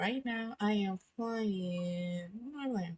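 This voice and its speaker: A somewhat breathy woman's voice, medium in pitch, with ordinary pitch variation. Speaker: VTuber and gaming streamer. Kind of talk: casual gaming commentary. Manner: hesitant, filler words.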